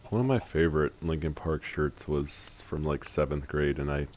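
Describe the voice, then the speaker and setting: A man with a very deep, low voice at a moderate pace, amid noticeable background noise. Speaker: gaming stream guest. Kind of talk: casual chat.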